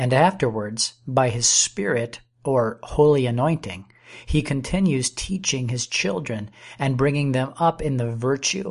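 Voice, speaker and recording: A man's somewhat breathy, medium-pitched voice at a fairly slow pace, with ordinary pitch variation and a quiet background. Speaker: audiobook narrator. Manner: slow, measured, formal; reverent, earnest, steady.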